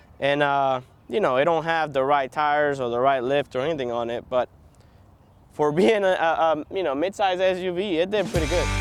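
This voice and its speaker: Over noticeable background noise, a man speaks at a fairly quick pace, his fairly high pitch showing ordinary variation. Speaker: car reviewer. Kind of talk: product review. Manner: casual, filler-heavy.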